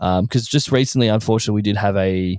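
In a dry, close recording with no echo, a man speaks. His pitch is fairly low and his intonation fairly even. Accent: Australian. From Australia. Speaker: podcast guest. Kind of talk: casual chat. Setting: remote call.

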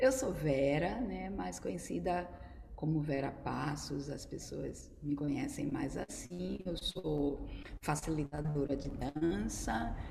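A woman talks very slowly while noticeable background noise fills the clip. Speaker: dance teacher and choreographer. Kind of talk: casual online chat. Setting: video call live.

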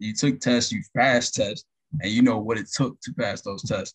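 Speaking at a moderate pace, a man uses an ordinary speaking voice at a medium pitch. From Florida (Tampa). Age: 20s. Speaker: network technician. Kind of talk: interview.

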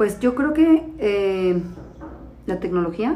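A woman's voice in a Mexican accent, full of very wide pitch swings, against noticeable background noise. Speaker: podcast co-host, mother of diabetic child. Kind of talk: casual chat.

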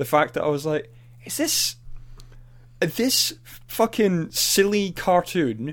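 A man's voice, high in pitch. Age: 30s. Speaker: podcast co-host. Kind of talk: casual chat. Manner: animated.

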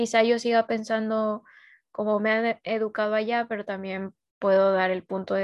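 A woman's fairly high voice carries along at a moderate pace. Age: 20s. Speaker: podcast host. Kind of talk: casual chat. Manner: halting, repeats words.

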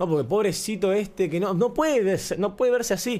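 A man with an Argentine accent, in a very clean recording with a silent background. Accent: Rioplatense Argentine Spanish. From Argentina, Buenos Aires area. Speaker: podcaster. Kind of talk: casual monologue. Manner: animated.

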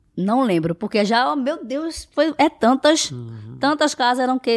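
A woman with an ordinary speaking voice talks at a fairly slow pace with lively intonation, in a dry, close sound with no echo on a very clean recording with a silent background. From Brazil, Recife. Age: 20s. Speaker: house cleaner and social media influencer. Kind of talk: casual interview.

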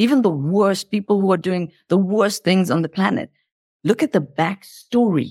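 A plain, everyday voice holds very even loudness and ordinary pitch variation in a dry, close sound with no echo. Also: woman, medium pitch for a woman, moderate pace. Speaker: self-mastery mentor and author. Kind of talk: casual interview chat. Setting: video call, remote from Switzerland.

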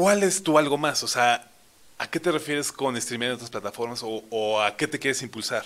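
This man has a normal speaking voice at medium pitch, moving at a moderate pace with lively intonation. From Mexico. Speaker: podcast host. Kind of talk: interview.

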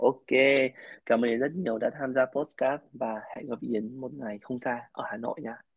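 Speaking at a fairly slow pace, a man with an unremarkable speaking voice keeps a medium pitch and ordinary pitch variation. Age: 20s. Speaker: podcast host. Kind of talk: casual interview chat.

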